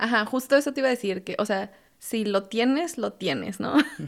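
A woman's voice carries vocal fry and lively intonation. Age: 30s. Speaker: software engineer and fitness instructor. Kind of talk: casual interview.

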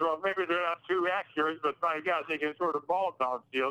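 The man's voice sits high. He keeps a moderate speed. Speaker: grandfather of the hosts. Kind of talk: casual chat. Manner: halting.

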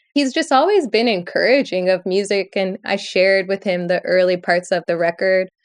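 A woman's unremarkable speaking voice with an American accent, medium pitch, ordinary pitch variation, very even loudness, a moderate pace and hardly any pauses. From Michigan, Lansing. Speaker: musician and DJ. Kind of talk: casual interview chat.

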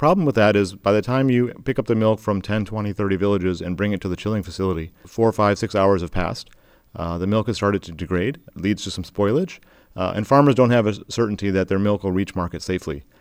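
With a Midwestern accent, a man talks at a very fast pace, fairly low in pitch with ordinary pitch variation. The recording is very clean and the background silent. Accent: American Midwest. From US Midwest, Michigan. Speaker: solar cold-chain company CEO. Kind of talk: interview.

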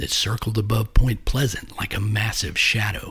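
A man's dramatic, somewhat breathy delivery at a moderate pace with ordinary pitch variation. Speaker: podcast host and narrator. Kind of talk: scripted true-crime style narration of a cryptid legend. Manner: measured, dramatic, storytelling delivery; formal and suspenseful.

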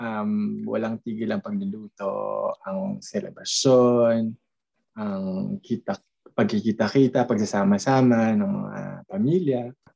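A man speaks very slowly in a dry, close sound with no echo. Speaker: podcast co-host. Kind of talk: casual chat.

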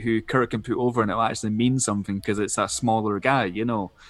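In a Scottish accent, a man speaks at a medium pitch. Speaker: wrestling podcast co-host, guest. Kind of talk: casual chat.

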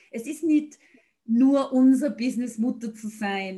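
At a fairly slow pace, a woman speaks with a dark, mellow tone at a fairly high pitch. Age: 40s. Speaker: podcast host and blogger. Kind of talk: interview.

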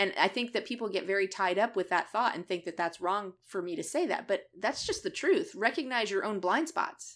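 At a fairly quick pace with hardly any pauses, a woman speaks in a medium pitch in a very clean recording with a silent background. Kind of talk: casual chat. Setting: Facebook Live video stream. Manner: loud, brash.

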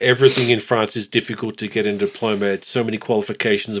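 A man with an Australian accent speaks at a very fast pace. His fairly low voice stays monotone and flat. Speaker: podcast host. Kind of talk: casual chat. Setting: ski resort.

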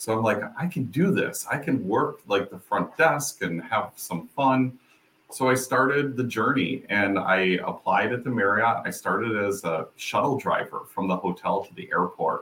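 There is noticeable background noise as a man with a medium-pitched voice talks at a moderate pace. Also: lively intonation, hardly any pauses. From Western New York (Rochester). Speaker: hospitality researcher, PhD candidate. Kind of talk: interview.

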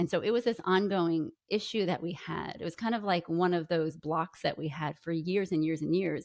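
With an American accent, a woman uses a normal speaking voice, fairly low in pitch. She keeps a moderate pace and ordinary pitch variation. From New York. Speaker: podcaster and author. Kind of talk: interview.

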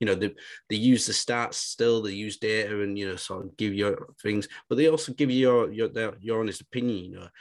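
With a northern English accent, a man with a fairly low pitch speaks at a fairly quick pace, keeping fairly even intonation but showing big swings in loudness, in a quiet background. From northern England. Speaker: fantasy football podcast co-host. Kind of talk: casual chat.

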